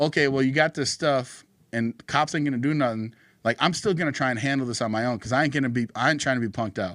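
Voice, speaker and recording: On a very clean recording with a silent background, a man with a medium pitch speaks at a very fast pace with ordinary pitch variation. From North Dakota. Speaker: political podcast co-host. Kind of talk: casual chat. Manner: animated.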